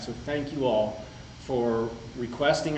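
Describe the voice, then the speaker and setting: Noticeable background noise and audible room echo accompany this man's speech. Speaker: market research executive presenting data. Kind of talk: conference presentation. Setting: conference room with audience. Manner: casual, conversational.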